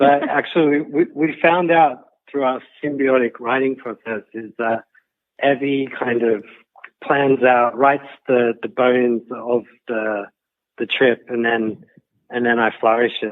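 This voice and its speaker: Speaking at a fairly slow pace, a man with an Australian accent uses a medium pitch and fairly even intonation. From Australia, Sydney. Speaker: guidebook co-author and photographer. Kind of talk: interview. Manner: halting, repeats words.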